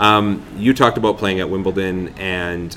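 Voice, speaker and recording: A man with a Canadian accent and a very deep, low pitch, ordinary pitch variation, audible room echo, and noticeable background noise. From Vancouver, Canada. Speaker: tournament media manager and podcast host. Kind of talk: casual interview and podcast narration. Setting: restaurant at a country club.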